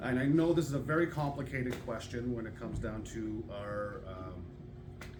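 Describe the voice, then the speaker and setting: The speech comes at a fairly slow pace with lively intonation. Room echo can be heard. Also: man. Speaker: audience member asking a question. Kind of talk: public Q&A question. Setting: public hall with audience. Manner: halting.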